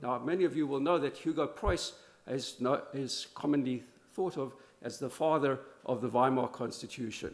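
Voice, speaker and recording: At a moderate pace, a man with an American accent speaks in a fairly high pitch with ordinary pitch variation. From South Africa. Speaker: law professor. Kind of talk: conference talk. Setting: conference in Berlin. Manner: halting, many fillers and restarts.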